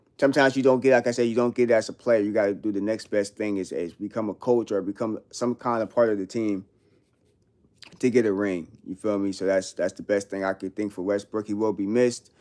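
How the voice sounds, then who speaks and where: With a New York accent, a man speaks at a fairly low pitch with fairly even intonation. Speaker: live streamer. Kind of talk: casual livestream chat. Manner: casual slang-heavy.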